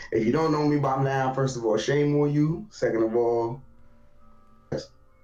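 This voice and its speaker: Over music in the background and audible room echo, a man speaks at a medium pitch and a moderate pace with fairly even intonation. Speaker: gaming streamer. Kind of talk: casual podcast chat. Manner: loud.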